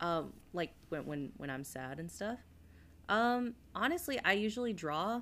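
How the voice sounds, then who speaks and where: A woman speaks fairly slowly at a medium pitch. Her pitch swings very widely. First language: Spanish. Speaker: podcast co-host. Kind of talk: casual chat.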